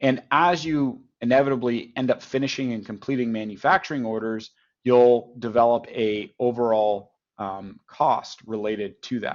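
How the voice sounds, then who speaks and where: This man has a plain, everyday voice with a Canadian accent. His pitch shows ordinary variation. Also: medium pitch for a man, moderate pace. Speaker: software company partnerships head giving product demo. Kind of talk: software demo in webinar. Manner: conversational with fillers.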